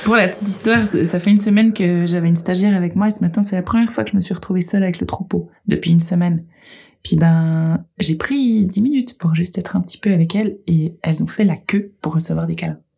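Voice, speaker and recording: A woman's somewhat breathy, dark, mellow voice at fairly low pitch with ordinary pitch variation and a very fast pace. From Geneva, Switzerland. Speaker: goat farmer. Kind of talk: casual chat.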